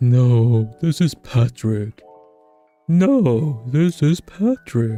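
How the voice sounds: Over faint background music, a man of medium pitch uses a put-on character voice at a very slow pace.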